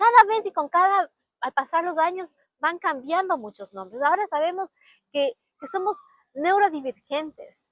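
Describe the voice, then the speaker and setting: Recorded dry and close with no echo, a woman speaks at a moderate pace. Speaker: podcast host and learning-disorder specialist. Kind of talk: personal testimony monologue.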